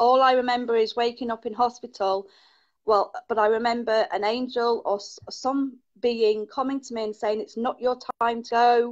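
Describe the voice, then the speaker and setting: A woman speaks at a moderate pace with an English accent. Her pitch sits fairly high, and her intonation stays fairly even. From England. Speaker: caller, Reiki healer. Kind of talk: casual chat.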